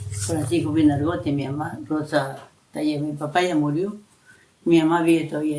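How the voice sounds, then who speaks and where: Audible room echo surrounds a man with a fairly high pitch. He talks at a moderate pace with ordinary pitch variation. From coastal Ecuador, Manabí (San Isidro). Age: 70s. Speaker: elderly local resident interviewed. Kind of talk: oral history interview. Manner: halting, with repetitions.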